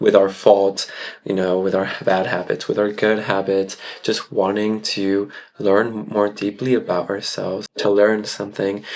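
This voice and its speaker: A man with a fairly low voice speaks at a moderate pace in a monotone, flat intonation. There is noticeable background noise. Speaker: content creator and tarot reader. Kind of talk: personal vlog monologue. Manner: casual, conversational.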